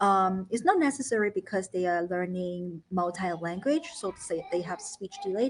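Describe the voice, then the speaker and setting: A woman with a Chinese accent speaks at a medium pitch with ordinary pitch variation. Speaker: founder of a children's learning academy and parent. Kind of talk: live educational talk show.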